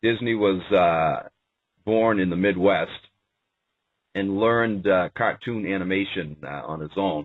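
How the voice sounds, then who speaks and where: Pausing long and often, a man with a fairly low pitch speaks at a fairly slow pace with ordinary pitch variation. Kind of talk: radio show monologue on history and politics. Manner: hesitant, with frequent uh fillers.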